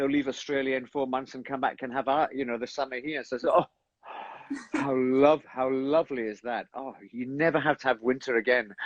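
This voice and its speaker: A man speaks in a Scottish accent at medium pitch. His pace is fairly quick. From Scotland. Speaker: stage actor. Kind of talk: casual chat. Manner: animated.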